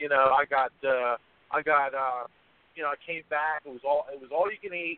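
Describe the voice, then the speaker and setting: Speaking with a Philadelphia accent, a man shows big swings in loudness at a moderate pace. His pitch is fairly high and his intonation fairly even. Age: 50s. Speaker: competitive eater and memoir author. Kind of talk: radio interview.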